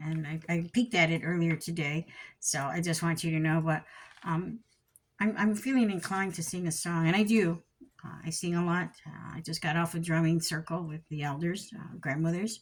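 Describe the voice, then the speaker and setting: A woman with a fairly low, somewhat breathy voice speaks at a moderate pace with fairly even intonation, in a very clean recording with a silent background. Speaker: spiritual teacher. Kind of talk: teaching talk. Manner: halting.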